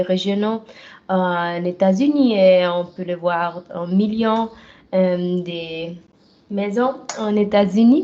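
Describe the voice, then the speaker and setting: Speaking very slowly with a Swiss German accent, a woman has a medium pitch and ordinary pitch variation. Her tone is dark and mellow. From German-speaking Switzerland, travelled widely. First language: Swiss German (speaking French). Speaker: professional wrestler. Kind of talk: interview. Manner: halting, many hesitations.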